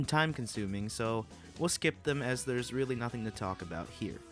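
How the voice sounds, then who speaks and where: A man is talking fairly quickly. Background music accompanies him. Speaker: YouTube gaming channel host. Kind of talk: gaming commentary over gameplay.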